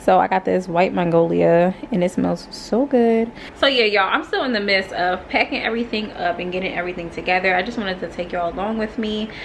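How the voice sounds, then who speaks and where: Over noticeable background noise, a woman speaks in an American accent. Her pitch is medium, with ordinary variation, and her pace fairly quick. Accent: American English, casual with y'all. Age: 20s. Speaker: lifestyle vlogger. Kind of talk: casual vlog talk to camera. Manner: casual, chatty.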